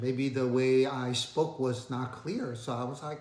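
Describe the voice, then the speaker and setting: A man's bright, sharp tone with a slight Asian accent, a fairly slow pace and audible room echo. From Asia, moved to the US at twelve. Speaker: finance video creator. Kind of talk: casual storytelling vlog. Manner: hesitant, many fillers.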